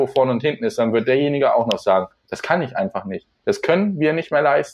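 A man talks at a fairly quick pace in a fairly high voice with very wide pitch swings. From Lower Saxony, near Hildesheim. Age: 20s. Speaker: nursing trainee. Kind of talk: interview. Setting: remote call.

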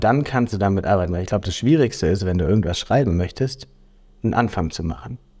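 A man speaks with lively intonation. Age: 20s. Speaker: podcast co-host. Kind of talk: casual chat.

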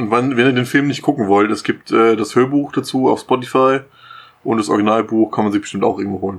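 Over a quiet background, a man talks at a very fast pace in a medium-pitched voice with fairly even intonation. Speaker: podcast co-host. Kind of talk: casual chat. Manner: laughs a lot.

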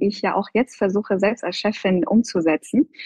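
A woman speaks at a medium pitch with a somewhat breathy quality. Her pace is fairly slow and her pitch varies in an ordinary way. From Iran. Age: 30s. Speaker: plastic surgeon, hospital department head. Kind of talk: interview.

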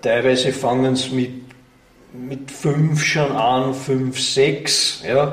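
A man speaks very slowly with fairly even intonation. There is audible room echo and noticeable background noise. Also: medium pitch for a man. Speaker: volunteer museum director. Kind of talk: interview. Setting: museum. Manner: halting.

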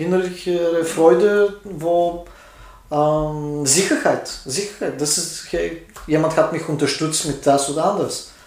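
At a very slow pace, a man with a Bulgarian accent talks in a high voice with fairly even intonation, amid noticeable background noise and audible room echo. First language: Bulgarian (speaking German). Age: 40s. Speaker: tattoo artist. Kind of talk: casual interview. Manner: halting.

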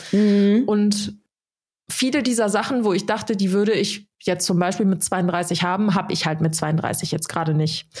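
The voice is somewhat breathy, with ordinary pitch variation and very even loudness at a moderate pace. The recording is very clean, with a silent background. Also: woman, medium pitch for a woman. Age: 30s. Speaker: podcast co-host. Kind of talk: casual chat.

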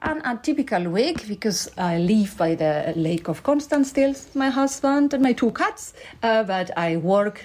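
A woman speaks with a Spanish accent at medium pitch. Her pitch swings are very wide. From Spain. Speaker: company board executive. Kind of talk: interview.

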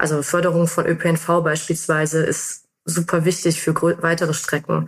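Over a very clean recording with a silent background, a woman speaks at a fairly slow pace with a fairly low pitch. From Germany, North Rhine-Westphalia. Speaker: mobility researcher. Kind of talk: interview.

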